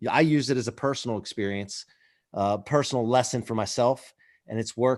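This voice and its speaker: The man has an unremarkable speaking voice at medium pitch with ordinary pitch variation. He talks at a fairly quick pace against a quiet background. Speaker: podcast host. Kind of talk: podcast intro talk. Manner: upbeat, encouraging.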